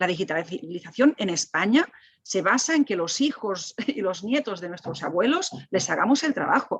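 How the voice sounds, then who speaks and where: Animated in tone, a woman with a Catalan accent speaks with very wide pitch swings. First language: Catalan (speaking Spanish). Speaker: technology ethics expert. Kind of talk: panel discussion. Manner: halting.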